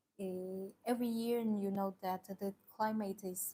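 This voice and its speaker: In a Chinese accent, a woman with a somewhat breathy, dark, mellow tone and medium pitch speaks at a fairly slow pace. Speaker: tea seller. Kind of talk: live stream product presentation. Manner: halting, many fillers.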